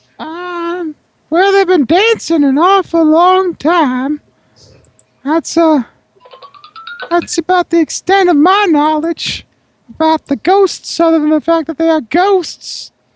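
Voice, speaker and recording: A put-on character voice at an extremely high pitch and a fairly slow pace, with faint music in the background. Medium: actual play. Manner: curt, sarcastic.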